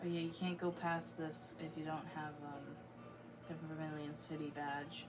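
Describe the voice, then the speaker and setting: A soft-spoken woman with a very deep, low pitch speaks in a monotone, flat intonation, with audible room echo and noticeable background noise. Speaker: gaming streamer. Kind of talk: gameplay commentary. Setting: home basement. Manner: slow. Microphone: sounds quiet on recording.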